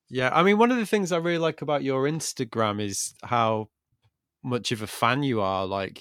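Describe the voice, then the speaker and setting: A man with an English accent speaks at a moderate pace in a dry, close sound with no echo, on a very clean recording with a silent background. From England. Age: 40s. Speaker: podcast host. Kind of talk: monologue intro and outro; casual interview chat.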